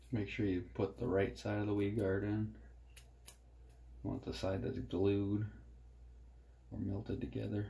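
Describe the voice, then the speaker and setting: Soft-spoken and somewhat breathy, a man with a dark, mellow tone and fairly low pitch leaves long, frequent pauses amid audible room echo. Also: lively intonation, moderate pace. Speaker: fishing jig maker. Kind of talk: tutorial. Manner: low-energy, subdued.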